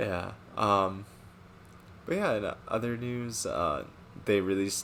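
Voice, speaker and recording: A man speaks quietly at a fairly slow pace, his pitch fairly low and his intonation fairly even. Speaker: gaming streamer. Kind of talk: casual chat. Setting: live stream.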